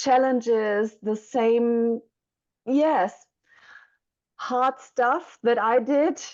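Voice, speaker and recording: A woman with a German accent, fairly high pitch, ordinary pitch variation and a dark, mellow tone against a quiet background. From Germany. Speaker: mentor for young mothers. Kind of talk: interview. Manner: halting.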